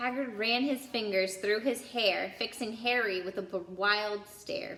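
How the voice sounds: A woman speaks at a fairly slow pace with a medium pitch and a fairly bright tone. Room echo is audible. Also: ordinary pitch variation.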